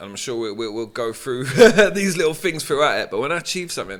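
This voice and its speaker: A man talks very fast with a London accent. His voice is fairly high, and his intonation is lively. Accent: London accent with Tottenham twang. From London, Tottenham (from age nine). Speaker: DJ and music producer. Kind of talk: podcast interview.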